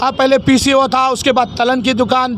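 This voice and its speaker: A man's extremely high-pitched voice over noticeable background noise. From Hyderabad, India. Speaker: shopkeeper. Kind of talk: complaint to media. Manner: halting.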